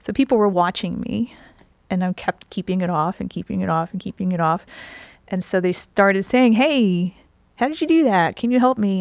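A woman with an unremarkable speaking voice and an American accent talks at medium pitch and a moderate pace with ordinary pitch variation, in a very clean recording with a silent background and a dry, close sound with no echo. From New Jersey. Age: 50s. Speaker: nutrition health coach. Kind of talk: interview.

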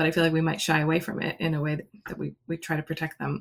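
A woman with an American accent has a very deep, low pitch. Her intonation stays fairly even, with vocal fry. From US. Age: around 50. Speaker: children's book author. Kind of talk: casual chat.

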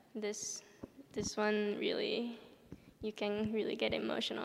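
A woman with a Japanese accent speaks at a fairly high pitch. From Japan, then Southern California from age 13. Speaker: ballet dancer. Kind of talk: interview before a live audience. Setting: stage with audience in an opera house.

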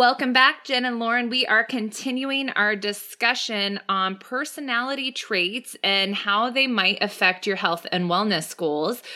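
Fairly high and bright, sharp in tone, a woman's voice moves at a fairly slow pace with ordinary pitch variation and hardly any pauses. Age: 30s. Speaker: podcast host, personal trainer and nutritionist. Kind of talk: casual chat.

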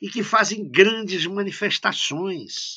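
A man's bright, sharp-toned voice at a very slow pace. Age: 70s. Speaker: professor. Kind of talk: interview. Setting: remote call from home office. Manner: hesitant fillers.

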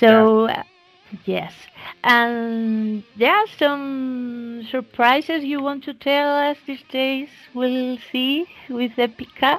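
This woman talks with a Spanish accent at a very slow pace. Her voice is high. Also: ordinary pitch variation. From Spain. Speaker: podcast host. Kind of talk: interview. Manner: halting.

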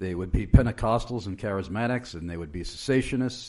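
Against a quiet background, a man uses a normal speaking voice with a fairly low pitch and lively intonation. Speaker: radio host. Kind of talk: radio interview. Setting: studio.

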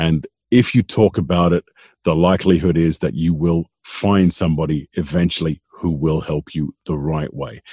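A dark, mellow tone at a moderate pace, with ordinary pitch variation and a dry, close sound free of echo. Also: man. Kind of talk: interview conversation. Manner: hesitant, repeats words.

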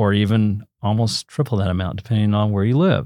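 A man with a Southern Plains accent at a very fast pace, fairly low in pitch with a dark, mellow tone, on a very clean recording with a silent background. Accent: Southern Plains American. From Oklahoma (Enid). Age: 60s. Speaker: TV meteorologist. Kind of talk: interview, casual explanatory talk.

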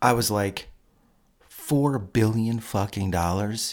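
A man is speaking. His pitch is fairly low. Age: 40s. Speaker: podcast co-host. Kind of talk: casual chat.

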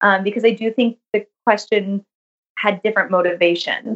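This woman has a normal speaking voice, talking at a fairly quick pace with ordinary pitch variation. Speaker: pediatrics resident. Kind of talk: interview conversation.

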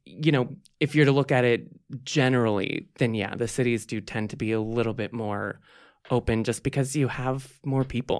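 A man with an ordinary speaking voice talks at a moderate pace and medium pitch with fairly even intonation, on a very clean recording with a silent background. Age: 30s. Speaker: LGBT advocate. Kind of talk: interview.

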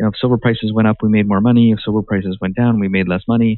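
A man with a Canadian accent speaks at a fairly low pitch with monotone, flat intonation. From Canada. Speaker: mining company CEO. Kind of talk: interview.

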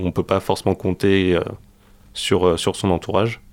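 A man is heard here. His voice sits very deep and low. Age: 20s. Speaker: student podcaster. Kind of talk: radio interview.

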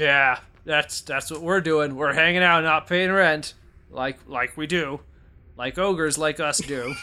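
This put-on character voice moves at a fairly slow pace. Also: man, fairly high pitch for a man. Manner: slow, dim-witted.

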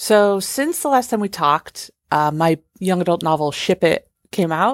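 Speaking at a moderate pace with lively intonation, a woman with a plain, everyday voice and medium pitch is heard in a dry, close sound with no echo on a very clean recording with a silent background. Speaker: TV writer and novelist. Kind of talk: recorded update message.

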